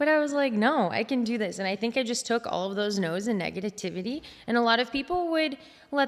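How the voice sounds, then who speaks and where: A woman in a normal speaking voice with an American accent, lively intonation and a fairly quick pace. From United States. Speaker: fitness competitor and posing coach. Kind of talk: casual interview chat.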